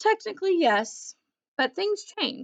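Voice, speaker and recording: Putting on a character voice, a woman growls at an extremely high pitch with very wide pitch swings and a fairly slow pace. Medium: read story. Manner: gruff, sarcastic.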